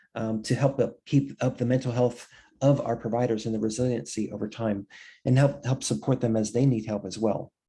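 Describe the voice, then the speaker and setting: A man speaks at a medium pitch with ordinary pitch variation and a dark, mellow tone against a quiet background. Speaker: webinar presenter on telebehavioral health. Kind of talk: webinar presentation. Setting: online webinar. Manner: fast; halting, many fillers and repetitions.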